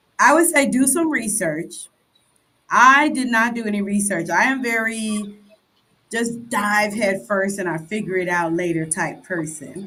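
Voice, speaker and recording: A woman with a Chicago accent, bright and sharp in tone, lively in intonation, fairly slow, with audible room echo. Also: medium pitch for a woman. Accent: Chicago American English. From Chicago, US. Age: 60s. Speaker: expat guest. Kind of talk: interview conversation.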